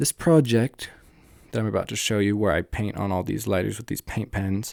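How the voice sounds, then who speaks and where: A man with a normal speaking voice, fairly low in pitch, at a moderate pace with ordinary pitch variation, in a dry, close sound with no echo on a very clean recording with a silent background. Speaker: art YouTuber. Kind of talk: casual voiceover narration. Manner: some filler words.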